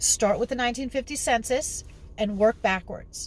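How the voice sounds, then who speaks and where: A woman with an American accent speaks in an animated tone at a moderate pace. Her voice is somewhat breathy, and the sound is dry with no echo. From New York City. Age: 50s. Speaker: genealogy hobbyist vlogger. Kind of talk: casual vlog tutorial. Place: car. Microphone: phone near.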